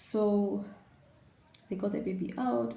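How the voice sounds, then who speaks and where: Audible room echo surrounds a woman whose dark, mellow tone carries vocal fry and very wide pitch swings. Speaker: vlogger. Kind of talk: personal storytelling. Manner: animated.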